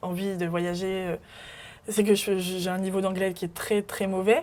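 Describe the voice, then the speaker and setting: Her medium-pitched voice moves at a fairly slow pace as the woman speaks. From France, Burgundy near Mâcon. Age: 20s. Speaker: podcast guest sharing life story. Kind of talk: interview testimony. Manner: hesitant, many fillers.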